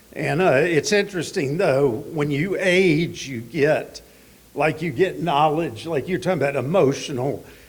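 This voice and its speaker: In a Southern US accent, a man with a fairly high voice speaks at a fairly slow pace with ordinary pitch variation, and room echo is audible. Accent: Southern US (Georgia). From US South, Georgia (Atlanta area). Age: 60s. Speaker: recovering addict speaker. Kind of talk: testimony.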